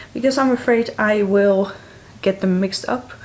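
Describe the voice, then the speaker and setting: A woman talks in a Dutch accent. Noticeable background noise runs behind her. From Netherlands. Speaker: book vlogger. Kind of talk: casual vlog talk to camera.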